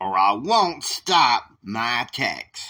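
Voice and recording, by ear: A man's put-on character voice, slow and medium-pitched, with a bright, sharp tone and big pitch swings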